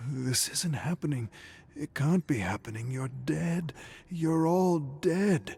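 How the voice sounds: Speaking slowly in a put-on character voice, this one carries a slightly mellow tone, vocal fry, a husky, rough edge and ordinary pitch variation. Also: man, fairly high pitch for a man.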